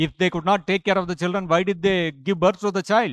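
A man speaks in a high voice at a fairly quick pace with fairly even intonation. The sound is dry, with no echo, over a quiet background. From India. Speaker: monk lecturer. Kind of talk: lecture. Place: church. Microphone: podium.

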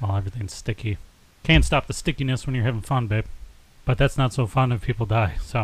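A somewhat breathy voice at a very fast pace with ordinary pitch variation. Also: man, medium pitch for a man. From United States. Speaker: podcast co-host. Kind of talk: casual chat.

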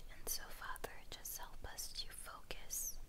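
Very slow speech amid loud background noise. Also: woman. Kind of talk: prayer. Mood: earnest, reverent prayer. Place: home room.

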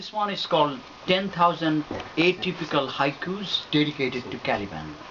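Against noticeable background noise, a man talks at a moderate pace with a fairly high pitch. His loudness swings a lot, while his pitch varies an ordinary amount. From Bangladesh. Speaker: poet. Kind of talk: poetry reading; poetry reading introduction. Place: home room. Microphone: camera far.

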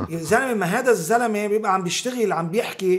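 Against a quiet background, a man speaks at a moderate pace in a high pitch. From Lebanon. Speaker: theatre director, actor and writer; actor. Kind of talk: interview conversation. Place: studio. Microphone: studio mic.

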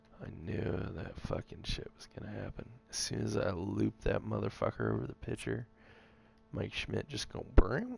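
The man talks at a moderate pace with big swings in loudness. Noticeable background noise sits behind him. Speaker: gamer. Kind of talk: casual gameplay chat. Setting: video game recording. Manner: excitable, anxious, swears when frustrated.

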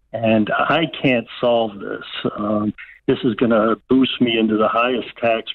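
A man has a normal speaking voice at a medium pitch, fairly slow and fairly even in intonation. The sound is dry with no echo against a quiet background. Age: 60s. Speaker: caller. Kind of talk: call-in question. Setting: phone call. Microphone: phone line.

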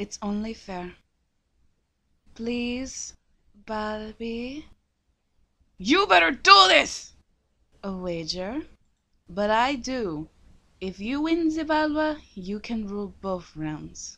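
In a put-on character voice, a female-sounding speaker goes very slowly with long, frequent pauses at a fairly high pitch over a quiet background. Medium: dub. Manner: angry, screaming.

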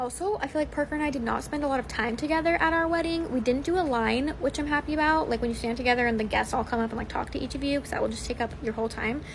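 Over noticeable background noise, a woman with an American accent talks at a very fast pace with hardly any pauses, using a high pitch and ordinary pitch variation. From Utah. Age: 20s. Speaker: social media creator. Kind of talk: casual monologue. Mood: reflective, chatty. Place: garden. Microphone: phone near.

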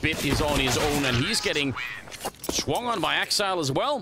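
A man's voice with ordinary pitch variation, over noticeable background noise. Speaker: esports caster. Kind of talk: live commentary. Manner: animated.

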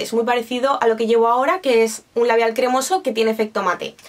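A woman with a high pitch talks at a very fast pace in an animated tone. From Spain. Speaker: beauty YouTuber. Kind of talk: product review vlog. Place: home room.

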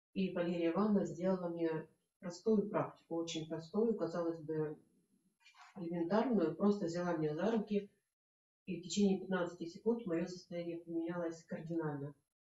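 Moderate pace, fairly even intonation, long and frequent pauses, and audible room echo. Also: woman, fairly low pitch for a woman. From Russia, Belgorod; Russia. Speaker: workshop participant. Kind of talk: testimony. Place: home room. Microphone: camera far.

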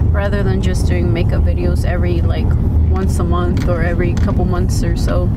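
A woman talks at a fairly quick pace. Loud noise fills the background. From Mexico. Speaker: vlogger. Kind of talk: vlog. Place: car. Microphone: phone near.

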